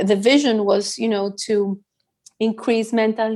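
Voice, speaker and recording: A woman in a Greek accent, medium in pitch, at a moderate pace with fairly even intonation. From Greece. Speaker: psychologist, business founder. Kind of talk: podcast interview.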